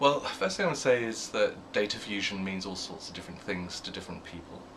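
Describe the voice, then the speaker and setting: Amid noticeable background noise, a man with a British accent talks at a very fast pace, showing big swings in loudness and ordinary pitch variation. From UK. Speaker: media research executive. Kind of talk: interview. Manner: hesitant, with fillers and repeats.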